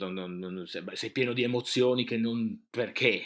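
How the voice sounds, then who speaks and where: A man speaks at a moderate pace. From northeastern Italy, Friuli (province of Udine). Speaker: radio host and fashion expert. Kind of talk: interview.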